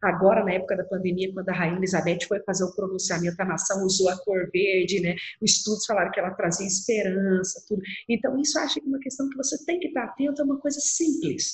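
Speaking very fast, a woman uses lively intonation at a medium pitch. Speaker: lawyer. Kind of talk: interview conversation. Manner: clear, objective.

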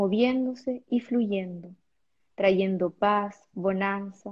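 The woman's tone is calm and soothing, somewhat breathy. Her intonation stays fairly even. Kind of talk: guided meditation. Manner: calm, soothing.

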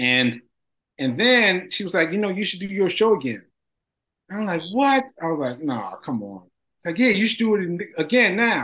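This man uses a raised, projected voice with a bright, sharp tone. His pace is moderate, and his loudness swings widely. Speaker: stroke survivor. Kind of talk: interview. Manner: articulate, sounds like a professor.

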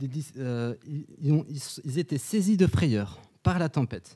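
A man's fairly high voice with a dark, mellow tone and lively intonation, on a very clean, dry and close recording with a silent background and no echo. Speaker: preacher. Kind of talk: sermon. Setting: church. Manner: conversational, personal; earnest, didactic.

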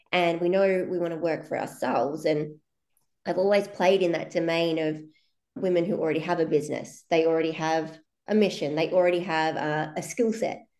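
At a fairly quick pace, a woman with a fairly low pitch speaks with fairly even intonation amid audible room echo. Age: 30s. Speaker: business coach. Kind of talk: casual chat. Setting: video call.

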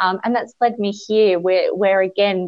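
Delivered at a fairly slow pace, the speech has fairly even intonation and an Australian accent. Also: woman. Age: 30s. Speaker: beauty industry educator. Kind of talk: interview.

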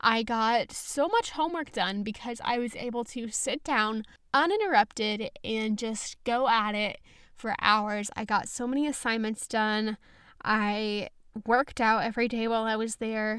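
An unremarkable speaking voice from a woman, fairly high-pitched and fairly even in intonation, at a fairly slow pace on a very clean recording with a silent background. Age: young. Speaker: podcast host. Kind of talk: casual chat. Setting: home recording.

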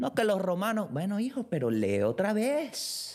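A man with a Venezuelan accent speaks fairly slowly, his pitch swinging very widely. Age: 20s. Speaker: podcaster. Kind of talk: casual solo monologue. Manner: loud; animated.

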